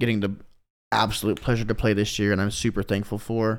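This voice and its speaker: A man at medium pitch and a fairly quick pace, on a very clean recording with a silent background. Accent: Midwestern American. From US Midwest, Kansas City. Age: 20s. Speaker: electronic music DJ and producer. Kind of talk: casual chat.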